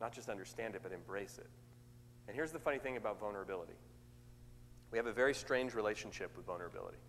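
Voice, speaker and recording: Speaking very fast yet with long, frequent pauses, a man at medium pitch shows vocal fry and ordinary pitch variation, with audible room echo. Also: big swings in loudness. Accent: American. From US West Coast, Oakland, California. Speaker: motivational speaker. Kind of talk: sermon. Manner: extemporaneous, conversational.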